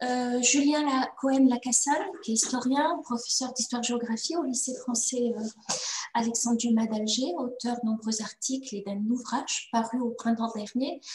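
The pitch varies in an ordinary way. Room echo is audible. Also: woman. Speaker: moderator and historian. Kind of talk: panel moderation. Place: home room. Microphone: video call.

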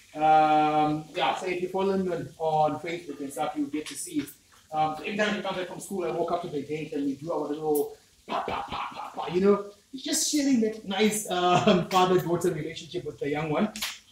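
Over noticeable background noise, a man speaks at a fairly quick pace in a high pitch with ordinary pitch variation. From Zimbabwe. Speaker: cooking channel host. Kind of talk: casual cooking tutorial. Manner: animated.

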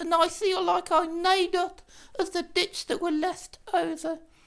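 At a moderate pace, a cartoonish character voice runs at an extremely high pitch. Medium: puppet.

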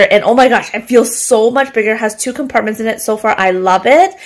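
Ordinary pitch variation from a woman, with a quiet background. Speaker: home vlogger. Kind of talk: casual vlog chat. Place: kitchen. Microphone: phone near.

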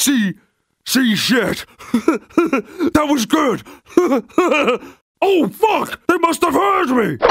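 A man performs a put-on character voice at an extremely high pitch. He goes at a very slow pace with long, frequent pauses. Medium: dub. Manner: aggressive, profane.

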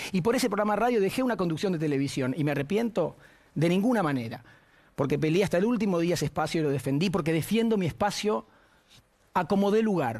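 Over a quiet background, a man in a Rioplatense accent talks at a very fast pace with very even loudness and lively intonation. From Argentina. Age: 40s. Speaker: TV panelist. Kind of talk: personal statement. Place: studio. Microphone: lapel.

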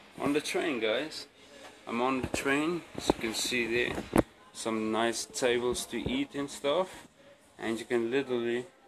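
A man talks fairly slowly, his pitch varying in an ordinary way, while loud background noise plays. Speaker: vlogger. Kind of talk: casual vlog chat. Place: train. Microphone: phone near.

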